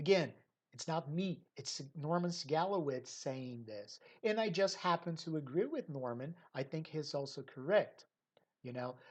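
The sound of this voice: At a fairly slow pace, a woman with a low pitch speaks with lively intonation.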